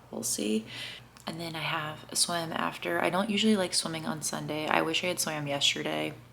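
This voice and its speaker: A woman speaking at a fairly quick pace over noticeable background noise. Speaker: triathlete vlogger. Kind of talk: casual vlog talk to camera.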